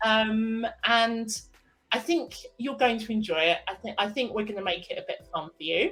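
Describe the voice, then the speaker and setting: The speaker is a woman with a fairly high pitch. Her intonation is lively. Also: moderate pace. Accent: English. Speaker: podcast co-host. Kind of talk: casual chat.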